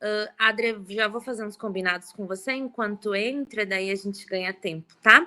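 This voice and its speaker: A woman with a fairly high pitch, ordinary pitch variation and big swings in loudness, at a moderate pace with hardly any pauses, amid noticeable background noise. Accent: southern Brazilian. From southern Brazil (Rio Grande do Sul). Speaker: event moderator. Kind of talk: casual chat.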